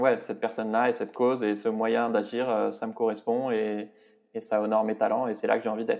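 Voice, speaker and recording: In a very clean recording with a silent background, the voice proceeds at a moderate pace. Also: man. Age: 30s. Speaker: podcaster and YouTuber, author. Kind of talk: interview conversation.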